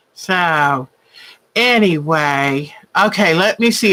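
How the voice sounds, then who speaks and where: With a Southern US accent, a woman speaks in a warm, animated tone that is also bright and sharp, her intonation lively. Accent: Southern drawl. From Virginia, US South. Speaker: quilting channel host. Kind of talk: livestream craft show chat. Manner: chatty, warm and animated.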